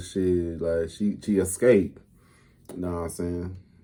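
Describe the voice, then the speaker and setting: With a dark, mellow tone, the man keeps his intonation fairly even. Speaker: YouTube reaction creator. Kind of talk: casual reaction commentary. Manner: fast.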